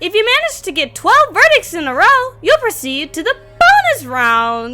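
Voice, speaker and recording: Extremely high-pitched put-on character voice from a woman, with very wide pitch swings at a moderate pace. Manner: playful, menacing game-show host.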